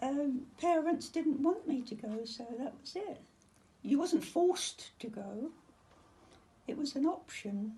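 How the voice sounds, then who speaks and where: A woman speaks very slowly with long, frequent pauses, in a high-pitched yet dark, mellow tone. Her intonation is lively, with big swings in loudness. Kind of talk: interview answer.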